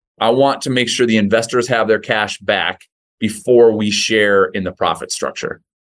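A man with a plain, everyday voice, medium pitch and a moderate pace. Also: fairly even intonation. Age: 40s. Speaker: real estate investment executive. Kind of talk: interview.

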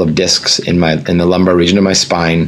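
A man's very deep, low voice with an American accent, noticeable background noise and audible room echo. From US, Northern Virginia. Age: 40s. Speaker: breathwork and meditation teacher. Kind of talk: casual interview.

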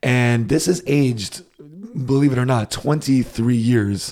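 At a fairly slow pace, a man with an ordinary speaking voice and an American accent speaks at a medium pitch with ordinary pitch variation. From United States. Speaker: podcast co-host. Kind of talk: casual chat.

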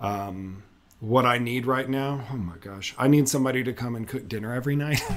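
With ordinary pitch variation and a medium pitch, the man has an unremarkable speaking voice. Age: 40s. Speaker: architect and adoptive father. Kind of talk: interview.

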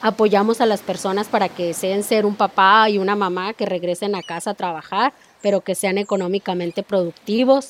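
Dry and close with no echo, a woman with an unremarkable speaking voice talks at a fairly quick pace in a medium pitch, with fairly even intonation and hardly any pauses. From Mexico. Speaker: network marketing entrepreneur. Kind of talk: interview.

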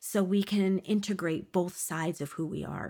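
On a very clean recording with a silent background, a woman with a plain, everyday voice speaks at a medium pitch with fairly even intonation. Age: 40s. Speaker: spiritual podcast host. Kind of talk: casual chat.

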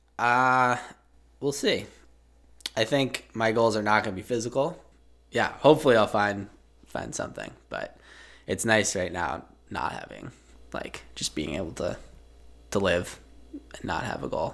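A man with an American accent speaks at a medium pitch with vocal fry and lively intonation. His pace is fairly slow, broken by long, frequent pauses. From Massachusetts. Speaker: endurance skier. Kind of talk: interview. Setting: studio.

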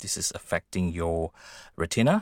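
A man talks at a fairly slow pace with a very deep, low voice. The recording is very clean, with a silent background. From Indonesia. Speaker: blind musician and tech worker. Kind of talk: interview. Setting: studio. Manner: halting.

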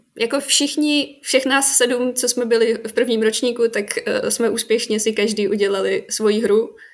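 An ordinary speaking voice with fairly even intonation moves at a fairly slow pace. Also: woman, fairly high pitch for a woman. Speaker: game design graduate. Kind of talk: casual chat.

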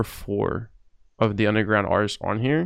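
An ordinary speaking voice with an American accent moves at a moderate pace. Its pitch varies in an ordinary way. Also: man. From New Jersey. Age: 20s. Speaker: podcast host. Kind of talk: casual interview.

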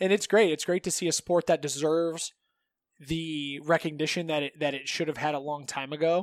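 A man with a Midwestern American accent speaks fairly quickly at a fairly high pitch, with fairly even intonation. The very clean recording has a silent background and a dry, close sound with no echo. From Northeast Ohio. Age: 30s. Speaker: jiu-jitsu coach and gym owner. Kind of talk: casual chat.

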